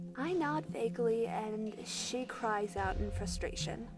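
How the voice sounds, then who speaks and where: With music behind her, a woman speaks at a fairly slow pace. Her fairly high voice moves through very wide pitch swings. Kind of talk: horror story narration. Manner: eerie, spooky.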